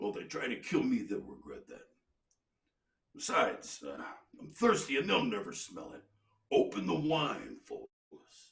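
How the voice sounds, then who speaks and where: In a put-on character voice at an extremely high pitch, a man speaks at a moderate pace, with big swings in loudness and long, frequent pauses. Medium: read story.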